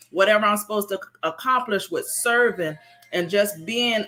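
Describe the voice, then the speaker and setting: A woman at a moderate pace, medium in pitch, with ordinary pitch variation and music in the background. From rural, country upbringing. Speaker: business owner sharing her morning routine. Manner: earnest, repetitive phrasing.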